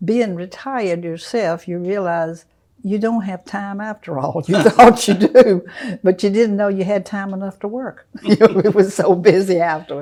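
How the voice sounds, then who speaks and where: A woman at a medium pitch with a dark, mellow tone, a moderate pace, ordinary pitch variation and big swings in loudness. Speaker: retired mother interviewed about her life. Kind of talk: oral history interview. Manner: halting.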